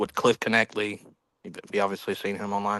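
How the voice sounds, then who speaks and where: A man with a Southern US accent and a bright, sharp tone, dry and close with no echo, against a quiet background. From South Carolina, US South. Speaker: caller on livestream. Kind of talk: casual chat. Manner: halting, many fillers.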